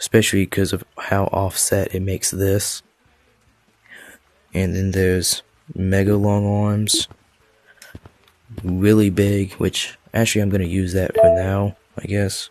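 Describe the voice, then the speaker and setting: Quiet and fairly low-pitched, a man speaks fairly slowly with long, frequent pauses. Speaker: gaming video creator. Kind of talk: casual game mod review talk. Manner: quiet, low-volume, recorded at night.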